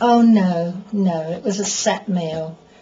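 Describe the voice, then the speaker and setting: A woman speaks with an English accent. Noticeable background noise can be heard. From England. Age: old. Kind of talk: interview answer. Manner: conversational, reminiscing.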